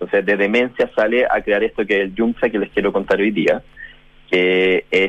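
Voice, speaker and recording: Speaking with a Chilean accent, the voice keeps a very even loudness and a monotone, flat intonation. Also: man, fairly low pitch for a man, moderate pace. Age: 40s. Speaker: journalist and food panelist. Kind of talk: casual chat.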